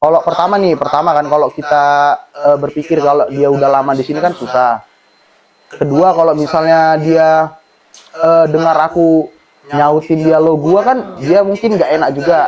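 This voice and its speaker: The speaker talks at a moderate pace. The intonation stays fairly even. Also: man, fairly high pitch for a man. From North Sumatra, Batak/Medan. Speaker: university student. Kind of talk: podcast interview.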